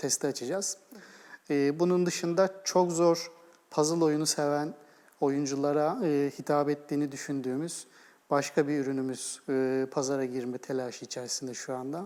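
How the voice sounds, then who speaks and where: A man speaks at a moderate pace in a fairly high pitch, his tone dark and mellow and his intonation fairly even. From Istanbul, Turkey. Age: 40s. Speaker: game studio co-founder and executive. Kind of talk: TV interview.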